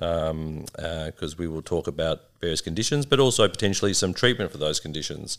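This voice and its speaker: A man speaks with an Australian accent on a very clean recording with a silent background. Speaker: liver doctor and podcast host. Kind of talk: casual conversational podcast. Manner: friendly, joking.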